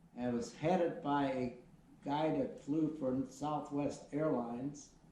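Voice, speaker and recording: With an American accent, the speaker talks at a fairly slow pace with ordinary pitch variation and very even loudness, amid noticeable background noise and audible room echo. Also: man. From US Midwest. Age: 70s. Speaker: retired airline pilot. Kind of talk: interview. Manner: halting.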